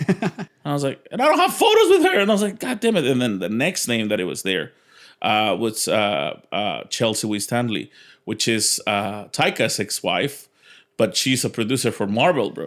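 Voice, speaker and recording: Moderate pace with a Mexican accent, in a very clean recording with a silent background. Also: man. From Mexico. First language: Spanish. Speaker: stand-up comedian. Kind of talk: interview answer. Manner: casual, animated.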